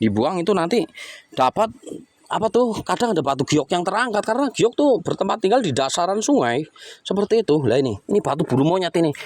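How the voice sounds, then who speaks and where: In a dry, close sound with no echo, a high-pitched man speaks very fast in an animated tone, with very wide pitch swings and very even loudness. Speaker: rock-hunting vlogger. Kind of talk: outdoor vlog narration. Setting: outdoors by a river.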